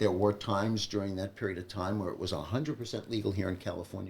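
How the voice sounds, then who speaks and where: The man's pitch sits fairly low. He talks at a very fast pace. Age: 70s. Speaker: retired veterinarian and cancer survivor. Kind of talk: interview. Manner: halting.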